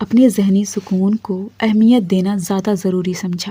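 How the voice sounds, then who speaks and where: This woman's voice has a dark, mellow tone, sounds somewhat breathy, and keeps a fairly even intonation. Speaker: motivational speaker. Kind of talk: motivational monologue to camera.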